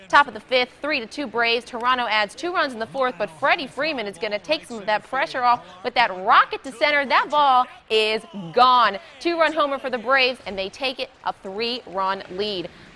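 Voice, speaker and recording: With an upbeat, energetic tone, a woman speaks at a high pitch and lively intonation. Noticeable background noise is present. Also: moderate pace. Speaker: sports anchor and reporter. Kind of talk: TV sports news anchor delivery.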